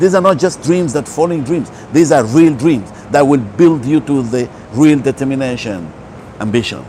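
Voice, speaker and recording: Over noticeable background noise, a man with a fairly high pitch talks at a moderate pace with lively intonation. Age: 60s. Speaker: holistic health speaker. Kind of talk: motivational talk.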